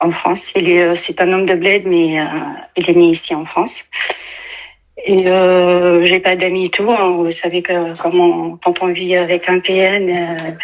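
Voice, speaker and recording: A woman at a fairly low pitch and fairly slow pace, her intonation monotone and flat. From Tunisia. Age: 30s. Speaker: caller. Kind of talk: testimony. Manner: halting, many hesitations.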